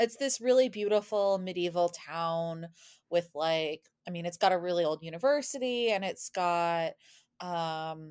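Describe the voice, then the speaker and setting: In an American accent, a woman speaks at a fairly slow pace with a fairly low pitch and ordinary pitch variation on a very clean recording with a silent background. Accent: American, described as NPR voice. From US, Boston suburb, Massachusetts. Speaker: podcast guest, former study-abroad student, YouTuber. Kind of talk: casual interview chat.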